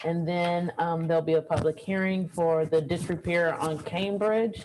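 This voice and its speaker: A woman's unremarkable speaking voice, fairly low in pitch, at a moderate pace with fairly even intonation. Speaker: mayor chairing council meeting. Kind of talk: council meeting chairing. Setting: hybrid council meeting.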